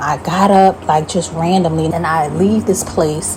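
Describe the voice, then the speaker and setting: Amid noticeable background noise, a woman with a fairly low pitch speaks at a moderate pace. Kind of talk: casual talk to camera, dream testimony and sermon.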